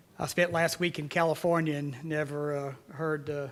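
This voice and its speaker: The voice has a Tennessee accent and a moderate pace. Its intonation is monotone and flat. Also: man. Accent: Tennessee Southern. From Tennessee, US South. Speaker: city mayor. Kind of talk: public speech. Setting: conference center event with audience. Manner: halting, many fillers.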